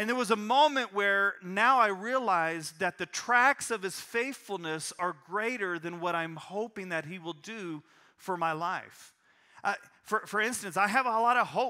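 A man projects a raised voice with a bright, sharp tone, a high pitch and ordinary pitch variation, at a fairly slow pace. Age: 40s. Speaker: pastor. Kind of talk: sermon. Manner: halting.

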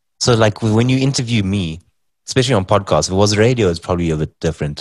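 Speaking at a fairly quick pace, a man has a South African accent and ordinary pitch variation. The sound is dry and close with no echo, over a quiet background. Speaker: comedian and podcaster. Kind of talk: casual chat. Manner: joking, animated.

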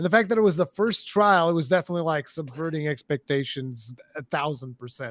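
A man with a Portuguese accent at a very fast pace, in a dry, close sound with no echo. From Portugal. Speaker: gaming content creator. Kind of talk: casual chat.

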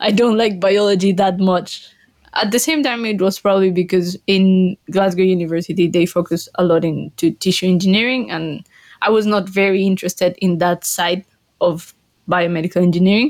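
A woman speaks at a moderate pace with a medium pitch and ordinary pitch variation. Her loudness stays very even throughout. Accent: Colombian. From Colombia. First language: Spanish. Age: 20s. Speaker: panel member, graduate professional. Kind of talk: casual chat.

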